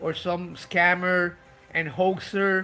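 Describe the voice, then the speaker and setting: Someone speaks with a non-native accent while music plays in the background. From Puerto Rico. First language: Spanish. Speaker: vlogger. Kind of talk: live video monologue. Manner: halting; slow.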